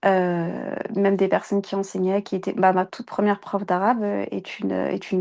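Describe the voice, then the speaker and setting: A woman's dark, mellow voice, flat and monotone, at a moderate pace over a quiet background. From France. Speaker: Quran teacher. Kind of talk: interview. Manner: halting.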